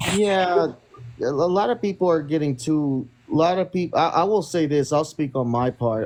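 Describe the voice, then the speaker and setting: The speaker keeps a moderate pace, ordinary pitch variation and very even loudness, with noticeable background noise behind. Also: man. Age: 30s. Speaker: social media live streamer. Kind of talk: casual chat. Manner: halting.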